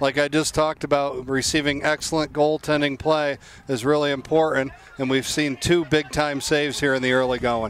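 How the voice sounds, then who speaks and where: Noticeable background noise sits behind a man speaking at a moderate pace. His fairly high pitch stays monotone and flat, with very even loudness. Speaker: color commentator, lacrosse coach. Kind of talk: live commentary. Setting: outdoors. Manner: frequent fillers and restarts.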